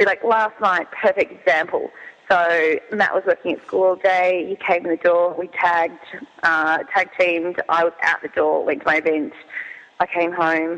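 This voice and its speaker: Fairly low in pitch, a woman with an Australian accent talks with fairly even intonation. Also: moderate pace. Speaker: cheese business owner and app founder. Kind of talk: interview.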